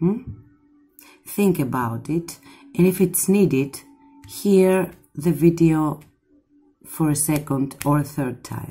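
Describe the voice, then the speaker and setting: Very slow, very deep female speech with a Greek accent, ordinary pitch variation, long, frequent pauses and faint music in the background. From Greece. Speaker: tarot reader. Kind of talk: tarot reading to camera. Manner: warm, affectionate. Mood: warm, soothing. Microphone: phone near.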